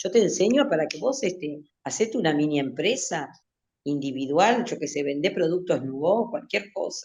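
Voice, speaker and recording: Talking at a fairly quick pace, a woman with a Uruguayan accent makes very wide pitch swings. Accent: Rioplatense Spanish (Uruguayan). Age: 60s. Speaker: literature teacher. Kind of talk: interview. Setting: radio interview, remote studio. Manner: halting, many fillers and restarts.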